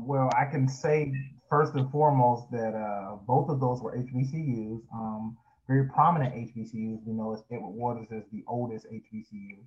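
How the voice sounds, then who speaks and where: With a plain, everyday voice and an American accent, a man speaks at a medium pitch and a fairly slow pace, his loudness swinging widely and his pitch varying in an ordinary way. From Florida, Jacksonville. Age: 20s. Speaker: pastor. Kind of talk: interview.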